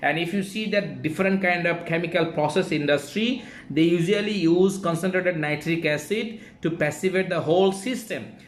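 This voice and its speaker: Heard with audible room echo, a man with a high voice speaks at a moderate pace. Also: ordinary pitch variation. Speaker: engineer teaching online class. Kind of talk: lecture. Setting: live online class. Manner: halting.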